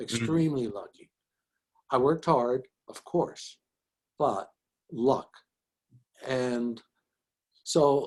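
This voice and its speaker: Very slowly, a man with a New York accent speaks in a medium-pitched, dark and mellow voice with ordinary pitch variation. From Bronx, New York. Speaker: physician and educator. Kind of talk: interview answer.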